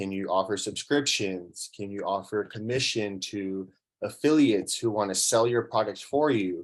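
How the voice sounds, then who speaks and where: Against a quiet background, an unremarkable speaking voice moves at a moderate pace with fairly even intonation. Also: man. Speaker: workshop presenter. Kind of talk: lecture.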